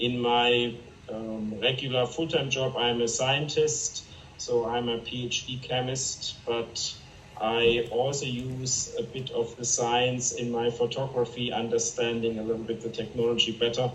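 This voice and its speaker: Noticeable background noise accompanies a man at medium pitch who speaks with a German accent at a fairly slow pace in a monotone, flat intonation. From Germany. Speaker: chemist and fine art photographer. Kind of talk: interview.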